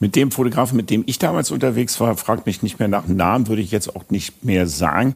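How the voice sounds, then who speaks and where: With an unremarkable speaking voice, a fairly low-pitched man talks at a fairly quick pace with lively intonation and hardly any pauses. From Münster, Germany. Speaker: podcast host. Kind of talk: interview.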